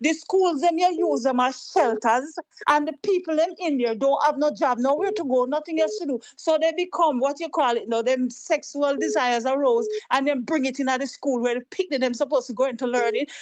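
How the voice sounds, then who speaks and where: A woman with a Jamaican accent talks in an animated tone at a high pitch, with ordinary pitch variation, a fairly quick pace and hardly any pauses. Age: 60s. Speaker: caller. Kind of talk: call-in political talk.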